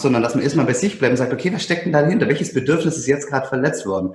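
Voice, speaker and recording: Audible room echo on a man's speech amid noticeable background noise. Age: 30s. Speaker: self-management consultant and coach. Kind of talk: casual conversation. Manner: halting, many fillers and repeated words.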